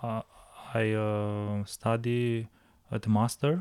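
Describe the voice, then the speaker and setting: Very slowly, a man speaks at a medium pitch with fairly even intonation. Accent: Romanian. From Romania. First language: Romanian. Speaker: winemaker. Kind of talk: casual interview. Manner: halting.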